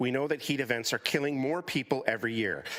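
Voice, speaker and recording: At a very fast pace, a man with a Canadian accent talks at a medium pitch with ordinary pitch variation. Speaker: community advocate delegate. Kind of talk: public delegation speech. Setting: council committee meeting.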